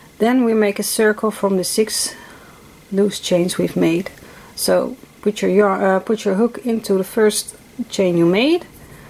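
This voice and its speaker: A Dutch accent, fairly even intonation, and long, frequent pauses. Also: woman, medium pitch for a woman. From Netherlands. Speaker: crochet teacher. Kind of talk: tutorial. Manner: halting, many fillers; stuttering at times.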